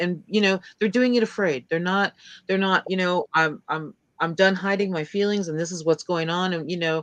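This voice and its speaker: In a quiet background with a dry, close sound and no echo, a woman with an ordinary speaking voice talks at a moderate pace, medium pitch, and fairly even intonation. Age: 60s. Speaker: podcast guest, fan. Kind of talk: casual chat.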